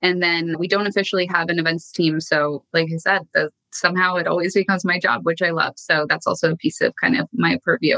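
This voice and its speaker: This woman talks at a fairly quick pace with hardly any pauses, in a fairly low pitch. She has a plain, everyday voice with ordinary pitch variation. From Canada. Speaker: marketing executive. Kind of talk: interview conversation. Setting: remote call from home office.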